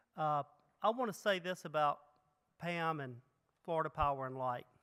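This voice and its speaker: This man's voice sits fairly high and has a bright, sharp tone, with a Mississippi accent. He talks at a moderate pace over a very clean recording with a silent background. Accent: Mississippi Southern. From Mississippi, US South. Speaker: economic development executive, keynote speaker. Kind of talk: keynote speech. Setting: conference stage with audience.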